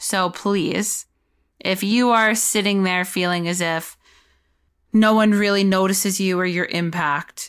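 A medium-pitched woman's voice at a fairly slow pace, fairly even intonation, very clean recording with a silent background. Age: 30s. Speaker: mental health podcast host. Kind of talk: solo podcast monologue.

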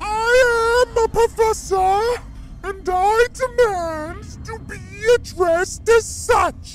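A put-on character voice, extremely high and shrill, speaks very slowly. Clear background noise runs underneath. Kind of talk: haughty, self-important. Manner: screeching, indignant.

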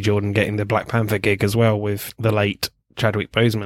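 In a southern English accent, a man speaks at a fairly low pitch with monotone, flat intonation. The recording is very clean, with a silent background. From England. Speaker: film podcast host. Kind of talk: casual chat.

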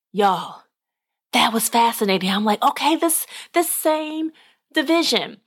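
A woman with an American accent talks at a fairly slow pace in a high pitch. Her pitch swings very widely, and she leaves long, frequent pauses. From Arkansas, US South. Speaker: podcast host. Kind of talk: casual monologue.

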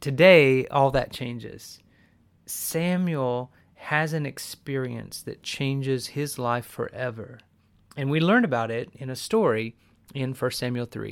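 On a very clean recording with a silent background, a man with an unremarkable speaking voice talks at a fairly slow pace with ordinary pitch variation. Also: medium pitch for a man. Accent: American. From US Southwest. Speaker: podcast host, Bible teacher. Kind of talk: devotional teaching podcast.

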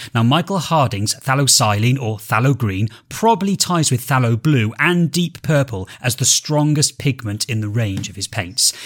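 A somewhat breathy man speaks at medium pitch and a moderate pace, his intonation lively. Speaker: podcast host and artist. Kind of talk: casual conversational podcast discussion. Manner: halting, hesitant with filler words.

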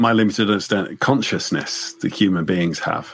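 This man has an English accent. He talks at an even, middling speed. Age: 50s. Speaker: pastor and theology professor. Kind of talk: casual chat.

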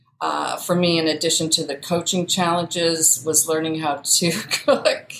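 At a fairly slow pace, a woman with a Midwestern US accent speaks at a fairly low pitch. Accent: US Midwest. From Iowa. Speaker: coaching client. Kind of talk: casual chat.

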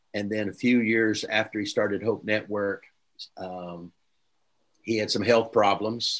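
Fairly low, flat, monotone male voice with an American accent, a fairly slow pace and long, frequent pauses against a quiet background. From Oklahoma, US. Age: 60s. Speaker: preacher and church leadership mentor. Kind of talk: interview.

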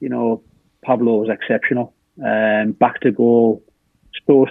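A man speaks with a northeast English accent. His intonation is monotone and flat. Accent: northeast English (Hartlepool). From northeast England. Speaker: former footballer. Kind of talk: casual chat. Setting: video call.

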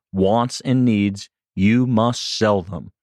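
A man has an ordinary speaking voice, a medium pitch and fairly even intonation. He speaks at a moderate pace, and the sound is dry and close with no echo. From Boston, Massachusetts. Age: 30s. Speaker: door-to-door sales trainer. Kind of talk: casual interview. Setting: studio.

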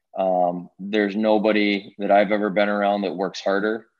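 A man with a Pittsburgh accent, moderate in pace and monotone, flat in intonation. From Pittsburgh, Pennsylvania. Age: 30s. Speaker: hockey executive and former goalie. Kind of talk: interview.

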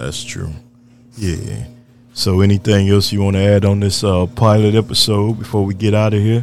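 This man's fairly low pitch and fairly even intonation come through noticeable background noise. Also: moderate pace. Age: old. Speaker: podcast host and sports coach. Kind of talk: casual chat.

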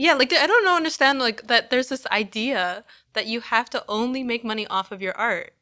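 Fairly quick, bright and sharp speech from a woman with a high pitch and lively intonation, on a very clean recording with a silent background. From Canada. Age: 20s. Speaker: painter and gallery co-curator. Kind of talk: casual interview chat. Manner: hesitant, many fillers.

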